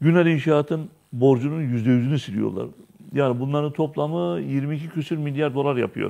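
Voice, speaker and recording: A man with a fairly high pitch speaks in a dark, mellow tone. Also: ordinary pitch variation, moderate pace, quiet background. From Turkey. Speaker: TV show host. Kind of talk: casual chat. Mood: earnest, concerned. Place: studio. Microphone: lapel.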